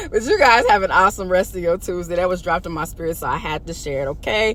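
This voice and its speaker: A woman is heard over noticeable background noise. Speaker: faith vlogger. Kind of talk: casual inspirational monologue. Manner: fast when relaxed.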